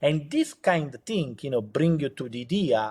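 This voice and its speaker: With a strong Italian accent, a man speaks at a moderate pace and a fairly high pitch on a very clean recording with a silent background. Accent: heavy Italian accent in English. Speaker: entrepreneur. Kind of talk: interview. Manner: halting, many fillers.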